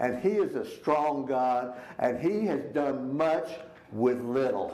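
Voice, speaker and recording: A man with a Texas accent talks at a very slow pace and a fairly high pitch, with ordinary pitch variation and audible room echo. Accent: Texas Southern US. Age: 70s. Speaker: Sunday school teacher. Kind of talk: Bible class teaching.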